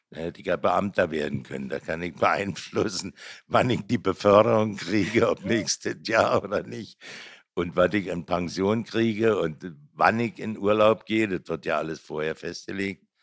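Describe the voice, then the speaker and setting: A man with a Berlin accent speaks in a fairly low pitch with ordinary pitch variation. The recording is very clean, with a silent background. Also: moderate pace. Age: 70s. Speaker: artist. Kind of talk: casual chat.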